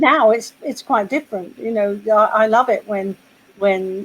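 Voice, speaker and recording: With a British accent, a woman speaks at a moderate pace. Her pitch is fairly high. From Britain. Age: 60s. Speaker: poet. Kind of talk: casual chat. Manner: halting.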